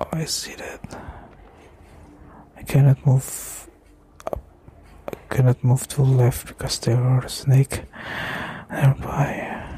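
Whispering and soft-spoken with an Indonesian accent, a man speaks very slowly with long, frequent pauses and big swings in loudness over noticeable background noise. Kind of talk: ASMR gameplay commentary. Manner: whispered, slow, soft-spoken.

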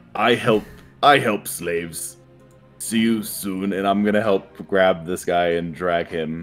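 Over faint music in the background, a man does a put-on character voice with a very deep, low pitch at a fairly slow pace. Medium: actual play. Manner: crude broken speech, bossy bluffing.

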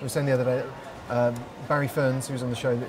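A man talks at medium pitch with noticeable background noise. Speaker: livestream host. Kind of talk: casual interview chat. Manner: jokey, chatty. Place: bar.

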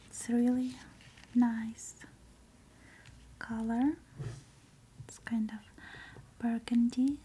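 Soft-spoken, a woman talks at a very slow pace with long, frequent pauses. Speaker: ASMR creator. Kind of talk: soft-spoken ASMR unboxing. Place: home room. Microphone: earbuds.

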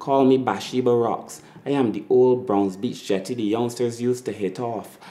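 A man with a Barbadian accent, moderate pace and fairly even intonation. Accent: Barbadian (Bajan). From Barbados. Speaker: spoken word poet. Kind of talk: spoken word poetry performance. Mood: proud, nostalgic, warm.

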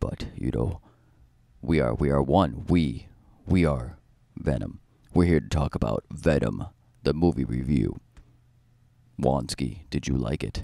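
A man's put-on character voice, very deep and low in pitch, at a fairly slow pace with long, frequent pauses. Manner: menacing, dramatic.

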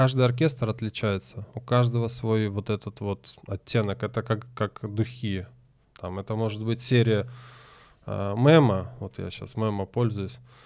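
Against a quiet background, the voice keeps a fairly even intonation at a fairly slow pace. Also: man. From Crimea (Simferopol); Crimea. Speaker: tango teacher. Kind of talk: casual chat. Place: studio. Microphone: studio mic.

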